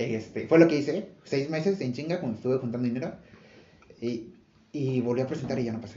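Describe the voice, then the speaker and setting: A man with a medium pitch speaks at a fairly quick pace in a somewhat breathy voice with ordinary pitch variation. Audible room echo surrounds him. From Monterrey, northern Mexico. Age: 20s. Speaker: podcast host, industrial engineer. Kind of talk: casual chat.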